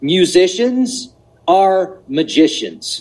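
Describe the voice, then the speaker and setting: This man's voice is high in pitch. His intonation is lively. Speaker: podcast host. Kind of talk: casual chat. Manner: animated.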